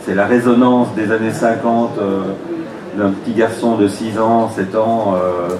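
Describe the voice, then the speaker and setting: A man talks with monotone, flat intonation, and noticeable background noise and audible room echo surround him. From Belgium. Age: 50s. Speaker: comic book writer and teacher. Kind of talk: panel talk.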